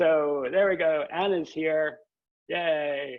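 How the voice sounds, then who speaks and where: Speaking in an unremarkable speaking voice with a Canadian accent, a man uses a fairly high pitch and fairly even intonation. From Canada. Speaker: history professor. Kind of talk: informal talk to new students. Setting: video call.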